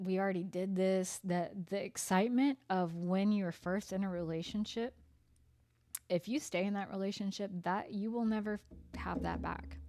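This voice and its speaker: Her dark, mellow tone sits at a medium pitch as the woman speaks at a moderate pace with fairly even intonation. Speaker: tarot reader. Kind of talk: tarot reading monologue. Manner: sarcastic-sounding; hesitant, many fillers.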